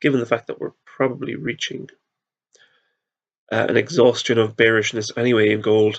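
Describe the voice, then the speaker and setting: With vocal fry, a man speaks at a medium pitch and a moderate pace, using ordinary pitch variation and long, frequent pauses. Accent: Irish. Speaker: market analyst. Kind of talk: tutorial. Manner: halting.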